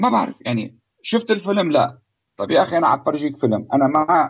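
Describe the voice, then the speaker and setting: A man has a normal speaking voice with lively intonation. He talks at a fairly quick pace. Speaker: cinematographer. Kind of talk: interview.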